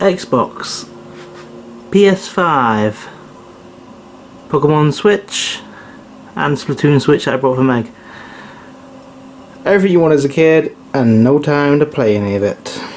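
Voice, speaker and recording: With a British accent, a man speaks in very wide pitch swings over noticeable background noise. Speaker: vlogger. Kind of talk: casual vlog talk. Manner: fast.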